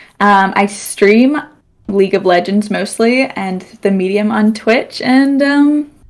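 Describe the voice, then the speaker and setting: A woman speaks with an American accent at a medium pitch. Her pace is very slow and her pitch varies in an ordinary way. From United States. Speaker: student streamer, podcast guest. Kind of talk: casual chat. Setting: live stream podcast.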